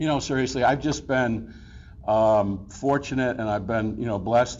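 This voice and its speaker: A man's voice with audible room echo. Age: 60s. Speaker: award recipient. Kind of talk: acceptance speech. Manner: halting, filler-heavy.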